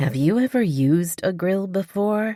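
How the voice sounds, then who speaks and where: A put-on character voice speaks at a middle pitch. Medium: read story. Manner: dry, guarded.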